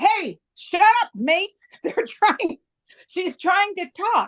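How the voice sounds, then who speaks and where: At a very slow pace, a put-on character voice uses lively intonation, with a dry, close sound with no echo. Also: woman, extremely high pitch for a woman. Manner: telling the group to quiet down.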